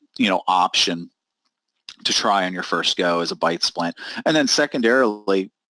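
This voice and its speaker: With lively intonation and a fairly quick pace, a man talks in a dry, close sound with no echo. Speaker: dental lab owner and trainer. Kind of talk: webinar presentation. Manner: fast; animated.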